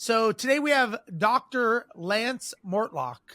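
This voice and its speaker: A man's raised, projected voice in an American accent, high-pitched with a bright, sharp tone and lively intonation, dry and close with no echo. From Southern California. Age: 50s. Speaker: podcast host. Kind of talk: interview. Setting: video call.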